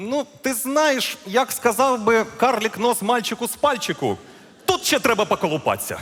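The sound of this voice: A put-on character voice with a fairly bright tone swings widely in pitch at a moderate pace. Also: man, extremely high pitch for a man.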